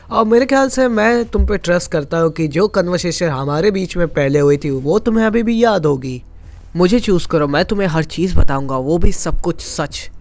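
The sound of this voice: This voice moves at a moderate pace, with lively intonation and a slightly mellow tone. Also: man, high pitch for a man.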